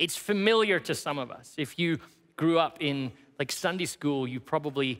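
Over a quiet background, a man talks at a moderate pace. His tone is bright and sharp, with ordinary pitch variation. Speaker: teaching pastor. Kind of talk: sermon. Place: church.

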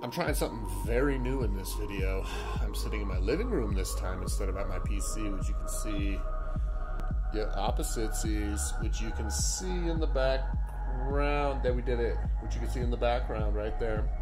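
Clear background music behind a man talking at a moderate pace. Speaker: card opening vlogger. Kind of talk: casual vlog chat. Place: home room. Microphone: phone near.

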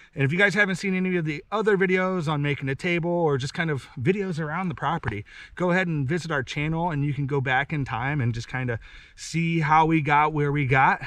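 A man talking at a very fast pace, ordinary pitch variation, dry sound with no echo and a quiet background. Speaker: homesteader vlogger. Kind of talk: casual vlog outro. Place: forest. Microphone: camera far.

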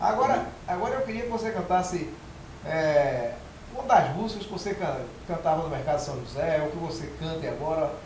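Lively intonation marks a man's high-pitched voice, heard with audible room echo and light background noise. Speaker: retired military police colonel. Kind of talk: casual conversation. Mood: friendly, lively.

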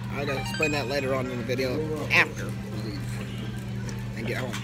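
The talking goes at a very fast pace. Loud music plays in the background. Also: man. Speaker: vlogger. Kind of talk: casual vlog chat. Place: cafe. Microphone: phone near.

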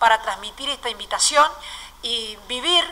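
Her pitch is high and her pitch variation ordinary. This woman talks at a fairly slow pace. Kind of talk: press conference announcement. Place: hall. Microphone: podium.

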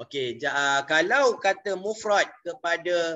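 This man's voice sits at a fairly high pitch. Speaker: Arabic language teacher. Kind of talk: online lecture. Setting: video call. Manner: halting, frequent fillers.

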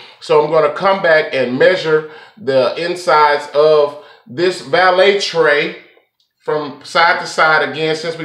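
A man's fairly even voice in audible room echo against a quiet background. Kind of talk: tutorial.

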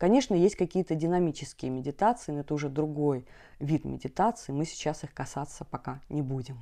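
A woman speaks in a very deep, low pitch with a dark, mellow tone and ordinary pitch variation, over a quiet background. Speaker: meditation teacher and hypnologist. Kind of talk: guided meditation instructions, explanatory talk. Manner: calm, soothing, warm; slow, gentle, reassuring. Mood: warm, calm. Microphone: lapel.

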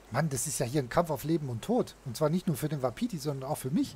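Somewhat breathy male voice, fairly high in pitch, at a fairly quick pace with lively intonation. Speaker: gaming video host. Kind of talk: let's play commentary. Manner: casual.

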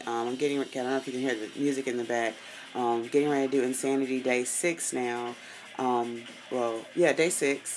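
Over light background noise, a woman with a very deep, low pitch speaks at a moderate pace. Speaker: fitness vlogger. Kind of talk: casual vlog chat. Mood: determined, upbeat. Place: home room. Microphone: phone near.

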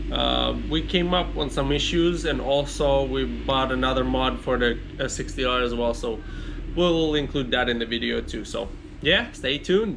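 Moderate-paced speech from a man, with noticeable background noise. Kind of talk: casual vlog chat. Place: garage. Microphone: phone near.

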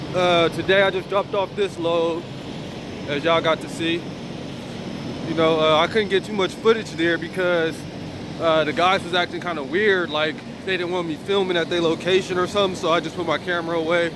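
Over noticeable background noise, a man talks fairly quickly in a high voice with monotone, flat intonation and a dry sound with no echo. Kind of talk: casual vlog chat. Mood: relaxed, easygoing. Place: street. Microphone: phone near.

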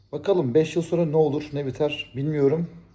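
A man's fairly high voice in a dark, mellow tone at a moderate pace. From Turkey. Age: 40s. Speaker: YouTuber. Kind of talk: casual vlog monologue.

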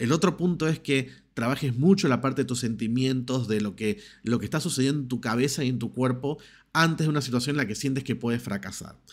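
With a quiet background and ordinary pitch variation, a man delivers his words fairly quickly. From Argentina. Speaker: personal development YouTuber. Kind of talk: motivational monologue to camera. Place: home room. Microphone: studio mic.

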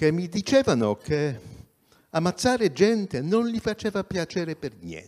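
A man with a non-native accent speaks fairly slowly at a high pitch, over a quiet background. His pitch swings very widely, and his loudness swings a lot too. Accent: non-native Italian. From Poland. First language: Polish (speaking Italian). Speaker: journalist and activist; journalist. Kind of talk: talk at public event. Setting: theatre stage, livestreamed. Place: stage. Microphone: handheld.

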